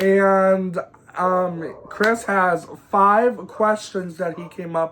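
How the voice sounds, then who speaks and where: At a very slow pace, a man with a high pitch talks over noticeable background noise. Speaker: YouTuber. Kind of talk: storytime vlog. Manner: halting, repeated words.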